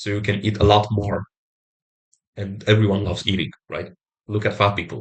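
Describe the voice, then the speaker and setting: A man's somewhat breathy, monotone, flat voice with long, frequent pauses. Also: moderate pace. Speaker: self-improvement vlogger. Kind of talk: motivational talk to camera. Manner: halting.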